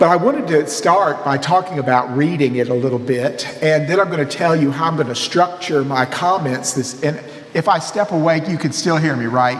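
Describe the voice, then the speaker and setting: A man's fairly high-pitched voice with a slight Mississippi accent, ordinary pitch variation and a moderate pace, amid audible room echo and noticeable background noise. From US South, Mississippi. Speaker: priest and seminary professor. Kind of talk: lecture. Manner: animated.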